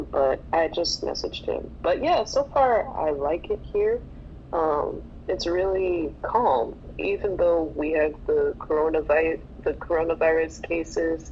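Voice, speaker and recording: With an American accent, a woman speaks at a fairly slow pace against noticeable background noise. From United States. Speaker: English teacher, podcast co-host. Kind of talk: casual chat. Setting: online audio room.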